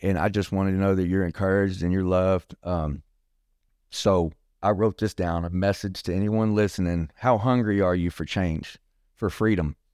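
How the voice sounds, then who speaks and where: Very clean recording, silent background, with a dry, close sound and no echo. A man speaks in a very deep, low pitch with fairly even intonation. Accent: Texan. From Texas, Bryan. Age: 40s. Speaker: recovering addict sharing testimony. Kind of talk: testimony.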